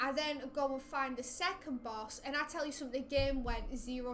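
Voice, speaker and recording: Bright and sharp, a woman's high voice carries audible room echo. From Lancashire, northern England. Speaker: gaming streamer. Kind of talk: casual chat.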